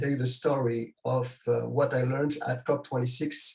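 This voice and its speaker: Speaking fairly slowly in a French accent, a man keeps a monotone, flat intonation at a medium pitch, his voice somewhat breathy. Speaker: keynote speaker, sustainability executive. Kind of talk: presentation.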